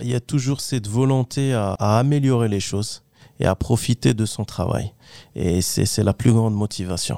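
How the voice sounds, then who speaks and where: Here a man with a dark, mellow tone talks at a moderate pace and medium pitch, using ordinary pitch variation. The recording is very clean with a silent background, dry and close with no echo. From Morocco, Kenitra. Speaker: technical property manager. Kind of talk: interview. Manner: hesitant.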